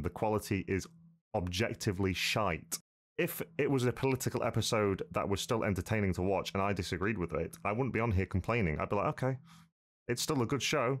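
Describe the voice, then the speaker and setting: Fairly low in pitch, a man talks with a British accent at a fairly quick pace. His pitch variation is ordinary, and the background is quiet. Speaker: YouTuber reacting to a video. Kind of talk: informal slang. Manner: blunt, sweary, casual. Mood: angry, contemptuous.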